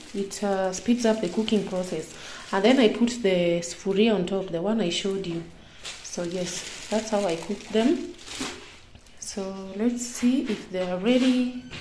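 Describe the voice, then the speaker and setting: At a fairly slow pace, a woman of medium pitch speaks with ordinary pitch variation, with audible room echo and noticeable background noise. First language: Kenyan local language. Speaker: vlogger. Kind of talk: casual vlog tutorial. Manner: halting.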